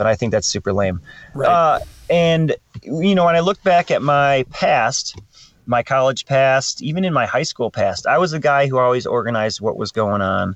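In an ordinary speaking voice, a man with a fairly high pitch and lively intonation speaks at a moderate pace, the sound dry and close with no echo. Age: 40s. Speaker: climbing coach and teacher. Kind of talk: casual chat.

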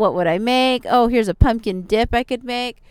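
A woman talks very fast at a fairly high pitch with ordinary pitch variation. The sound is dry and close, with no echo. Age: 40s. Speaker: podcast host. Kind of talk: casual monologue.

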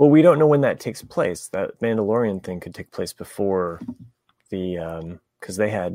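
Dark, mellow tone from a man, with lively intonation and a moderate pace. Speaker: podcast host. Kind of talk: casual chat. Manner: halting.

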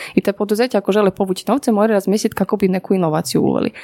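A woman talks at a very fast pace in a medium pitch. The sound is dry and close with no echo, with noticeable background noise. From Poland. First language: Polish (speaking Croatian). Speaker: business consultant. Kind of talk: interview.

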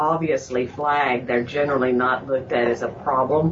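Noticeable background noise sits under a woman speaking at a moderate pace with ordinary pitch variation. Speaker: health practice co-worker. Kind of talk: casual interview.

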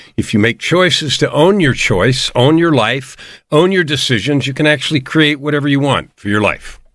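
With an American accent and an ordinary speaking voice, a man of fairly high pitch talks at a moderate pace with ordinary pitch variation over a quiet background. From US West Coast, San Francisco. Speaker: life coach and author. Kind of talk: interview.

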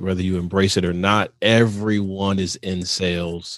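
With an American accent, a man speaks at a very deep, low pitch using fairly even intonation. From Michigan. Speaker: podcast host. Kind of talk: interview.

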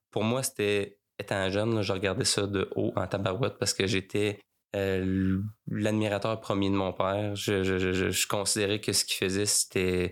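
A man with a Quebec accent speaks at a fairly low pitch in a monotone, flat intonation and very even loudness, on a very clean recording with a silent background. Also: moderate pace. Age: 30s. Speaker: funeral director. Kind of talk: interview. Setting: mobile studio by the river.

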